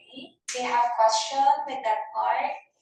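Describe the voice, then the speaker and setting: There is audible room echo around a woman's voice. She speaks at a fairly slow pace with ordinary pitch variation. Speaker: ESL teacher. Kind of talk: classroom lesson.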